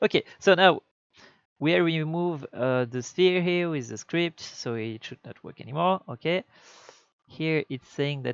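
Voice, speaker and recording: A speaker with a non-native accent talks at a fairly slow pace, with ordinary pitch variation and big swings in loudness. The sound is dry and close with no echo, over a quiet background. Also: man. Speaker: game developer. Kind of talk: tutorial. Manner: halting.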